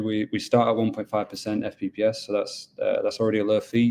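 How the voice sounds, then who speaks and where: In a Yorkshire accent, a man speaks with a dark, mellow tone. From Yorkshire, northern England. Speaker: mining pool business development manager. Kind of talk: webinar presentation. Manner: casual with frequent fillers.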